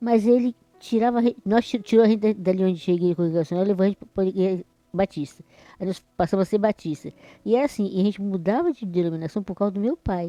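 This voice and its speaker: At a very fast pace, a woman with a medium-pitched, dark, mellow voice talks with ordinary pitch variation in a dry, close sound with no echo. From Brazil, Espírito Santo (rural). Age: 60s. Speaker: church member. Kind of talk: interview testimony. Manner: halting, repeats words.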